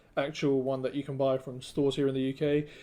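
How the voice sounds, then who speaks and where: Here is a man with a British accent and a fairly high pitch. His tone is dark and mellow. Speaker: product reviewer. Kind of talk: product review. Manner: casual, with many fillers.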